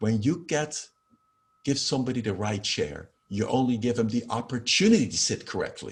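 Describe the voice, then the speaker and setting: Somewhat breathy and at a medium pitch, a man speaks with a slight Dutch accent and lively intonation. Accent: slight Dutch accent in American English. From Netherlands. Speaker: professor of holistic health. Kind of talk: interview.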